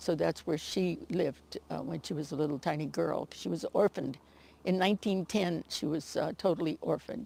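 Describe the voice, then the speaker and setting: With a Californian accent, a woman is heard in a dry, close recording with no echo. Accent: Californian American. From US West Coast, Alameda County, California. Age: 80s+. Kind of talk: storytelling interview. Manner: halting, many fillers.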